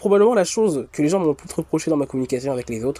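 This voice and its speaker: A man's fairly high pitch and dark, mellow tone at a fairly quick pace. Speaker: YouTuber. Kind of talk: casual monologue. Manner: fast; talkative, rambling casual monologue.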